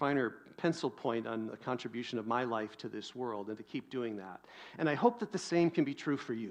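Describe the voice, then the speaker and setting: A man with an American accent and an unremarkable speaking voice talks at a fairly quick pace, medium in pitch with ordinary pitch variation, against a quiet background. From US Pacific Northwest. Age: 50s. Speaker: pastor. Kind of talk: sermon.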